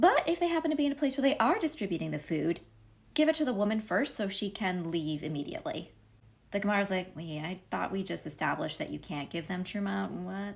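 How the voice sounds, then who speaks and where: On a very clean recording with a silent background, a woman with a medium pitch and vocal fry speaks at a very fast pace, her pitch swinging very widely. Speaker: Talmud commentator. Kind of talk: casual commentary on Talmud.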